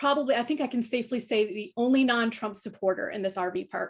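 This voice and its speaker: A woman with an American accent speaks in an animated tone at a high pitch, with hardly any pauses. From northern US. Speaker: nuclear policy expert and thriller writer. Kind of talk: panel conversation. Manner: animated, with repetitions and false starts.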